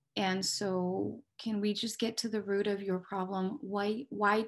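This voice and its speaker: Somewhat breathy and at a medium pitch, a woman with a Spanish accent talks at a fairly slow pace over a quiet background. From Mexico. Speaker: police dispatcher. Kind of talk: career interview.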